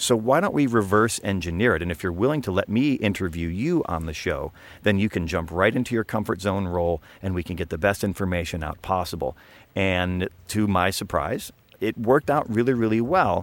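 A man with an American accent speaks at a fairly quick pace, his pitch fairly low with ordinary variation. He has an ordinary speaking voice, on a very clean recording with a silent background. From eastern US. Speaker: podcast co-host. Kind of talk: casual chat.

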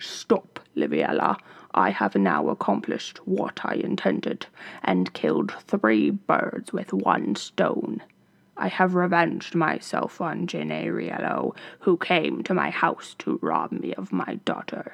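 Using a put-on character voice, a man speaks at a fairly slow pace with a raspy sound. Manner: commanding, triumphant.

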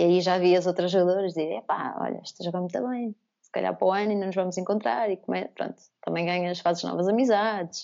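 A woman talks very fast, her pitch medium and its variation ordinary. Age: 30s. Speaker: former basketball player. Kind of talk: casual interview.

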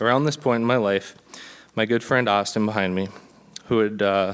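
A man speaks with an Upper Midwest accent at a fairly low pitch. His pace is fairly quick and his intonation monotone and flat. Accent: Upper Midwest American. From Minnesota (Blaine). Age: 20s. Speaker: church member being baptized. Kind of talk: testimony. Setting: church.

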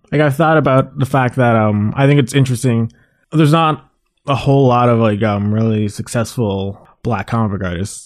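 A man with a Canadian accent speaks at a moderate pace in a normal speaking voice, his pitch varying in an ordinary way, on a very clean recording with a silent background. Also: medium pitch for a man. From Mississauga, Ontario, Canada. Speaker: comic artist, leader of an art collective. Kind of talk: casual interview.

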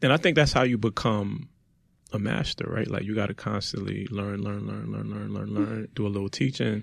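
With a Brooklyn accent, a man talks at a fairly quick pace. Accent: New York (Brooklyn). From Brooklyn, New York. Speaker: podcast host. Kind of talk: casual chat.

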